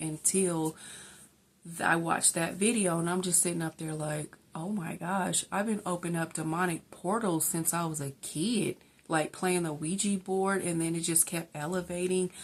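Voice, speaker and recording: Speaking at a moderate pace, a woman with a fairly low pitch keeps a monotone, flat intonation over a very clean recording with a silent background. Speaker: faith vlogger. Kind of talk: testimony. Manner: halting; casual, filler-heavy.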